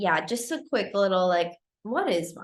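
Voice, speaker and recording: Here a woman speaks with a German accent. Her pitch is medium. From Germany. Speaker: photography business coach. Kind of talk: live-streamed coaching talk. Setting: livestream. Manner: casual, with many fillers.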